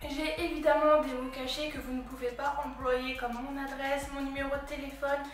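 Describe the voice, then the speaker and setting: Over music in the background, a woman speaks at a moderate pace with audible room echo. Her high pitch stays monotone and flat. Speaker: YouTuber. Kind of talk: vlog monologue.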